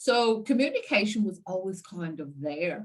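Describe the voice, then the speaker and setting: In an Irish accent, a woman speaks at a medium pitch with very wide pitch swings. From Ireland, seaside town. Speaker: communication coach. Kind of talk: interview.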